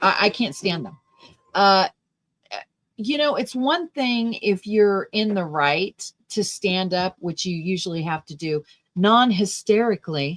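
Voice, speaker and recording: A normal speaking voice moves at a fairly slow pace with lively intonation, the sound dry and close with no echo. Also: woman, medium pitch for a woman. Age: 60s. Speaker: political talk show host. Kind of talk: livestream commentary with chat. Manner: casual, conversational.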